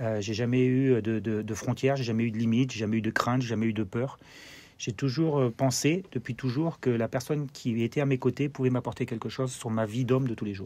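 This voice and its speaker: This very clean recording with a silent background has a man with a German accent talking fairly quickly at medium pitch, his tone dark and mellow and his intonation fairly even. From Germany (Freiburg, French army garrison). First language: German (speaking French). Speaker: former pro footballer, TV football pundit. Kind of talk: interview. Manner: halting, many fillers and repetitions.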